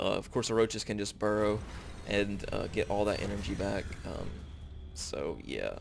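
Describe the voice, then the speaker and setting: With a strong Southern US accent, a man talks at a moderate pace, broken by long, frequent pauses. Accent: very southern US. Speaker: video game commentator. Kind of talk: live game commentary. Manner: hesitant, many filler words.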